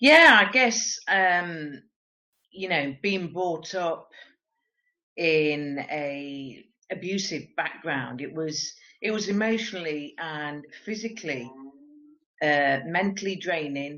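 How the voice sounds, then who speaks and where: With an English accent, a woman speaks very slowly at a fairly low pitch, with ordinary pitch variation and long, frequent pauses. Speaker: interview guest. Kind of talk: interview.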